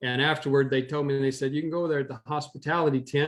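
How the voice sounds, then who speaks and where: This man has a plain, everyday voice, a medium pitch and fairly even intonation. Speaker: former rodeo cowboy, historian, auctioneer. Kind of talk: interview storytelling.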